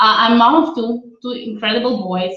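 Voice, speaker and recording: A woman with a non-native accent speaks amid audible room echo. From Israel. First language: not English; born in Russia, raised in Israel. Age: 30s. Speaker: career coach. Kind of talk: webinar presentation. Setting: live video webinar, laptop. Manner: hesitant with many fillers.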